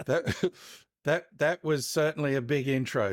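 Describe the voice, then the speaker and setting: Recorded very cleanly against a silent background, a man with an Australian accent talks at a fairly slow pace with ordinary pitch variation, the sound dry and close with no echo. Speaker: marketing consultant and author. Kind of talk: interview.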